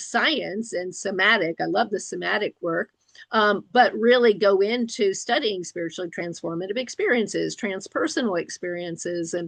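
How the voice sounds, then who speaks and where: There is vocal fry in this woman's voice. She speaks at a moderate pace with ordinary pitch variation. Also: medium pitch for a woman. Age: 60s. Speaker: licensed professional counselor and interviewer. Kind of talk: interview discussion.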